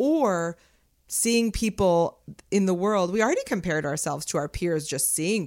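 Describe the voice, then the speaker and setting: In a normal speaking voice, a woman with an American accent talks at a moderate pace, her medium pitch carrying lively intonation on a very clean recording with a silent background. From Los Angeles. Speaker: creative studio co-founder. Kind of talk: casual chat.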